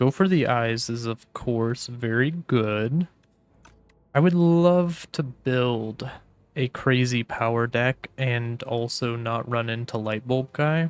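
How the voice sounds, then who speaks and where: A man at medium pitch talks at a very slow pace in a relaxed tone. The sound is dry and close with no echo, and his pitch variation is ordinary. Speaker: gaming YouTuber. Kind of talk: gameplay commentary. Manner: casual, relaxed.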